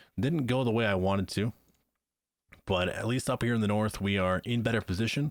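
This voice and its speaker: Over a silent background on a very clean recording with a dry, close sound and no echo, a man of fairly low pitch talks at a moderate pace with ordinary pitch variation. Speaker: gaming video creator. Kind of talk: let's play commentary. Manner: casual, thinking aloud.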